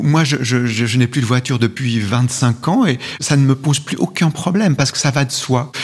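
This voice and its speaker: A man's lively intonation and fairly quick pace come through over noticeable background noise. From Switzerland, Valais (Val d'Hérens). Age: 50s. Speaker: essayist and author. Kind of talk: interview. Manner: halting.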